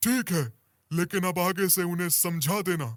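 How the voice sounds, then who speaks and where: A man does a cartoonish character voice, pitched high for a man, with ordinary pitch variation at a moderate pace. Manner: stern, commanding.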